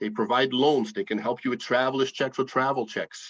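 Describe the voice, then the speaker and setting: A man is talking. He speaks with a Dutch accent. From Netherlands. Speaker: financial educator. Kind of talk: presentation. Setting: video call.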